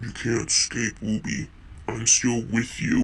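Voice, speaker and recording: A man performs a put-on character voice at a medium pitch. He goes at a fairly slow pace, with clear background noise behind him. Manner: menacing.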